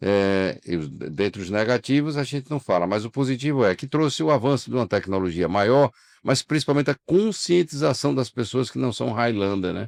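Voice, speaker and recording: Medium-pitched male voice, a normal speaking voice with lively intonation, moderate pace and hardly any pauses, dry and close with no echo against a quiet background. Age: 60s. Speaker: insurance broker, union leader. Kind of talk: interview conversation.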